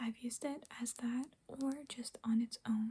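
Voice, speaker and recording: Whispering, a soft-spoken woman talks. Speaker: ASMR creator. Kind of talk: ASMR nail polish ramble to camera. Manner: soft-spoken, whispered, rambling.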